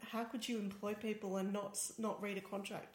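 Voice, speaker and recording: A woman's medium-pitched voice in an Australian accent. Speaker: tech journalist and podcast co-host. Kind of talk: casual chat. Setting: studio, shared single microphone.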